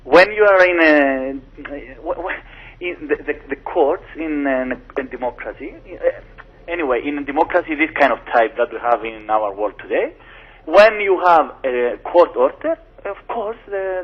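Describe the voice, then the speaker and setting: There is noticeable background noise as a man with a Greek accent speaks. His pitch is high and his pace fairly slow. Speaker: lawyer. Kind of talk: radio interview. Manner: halting.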